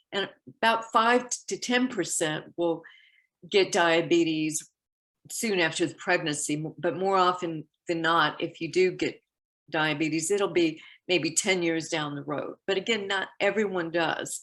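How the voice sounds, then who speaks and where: Against a quiet background, a woman with an ordinary speaking voice talks at a fairly slow pace in a fairly low pitch with ordinary pitch variation. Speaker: diabetes health educator. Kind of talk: health education talk.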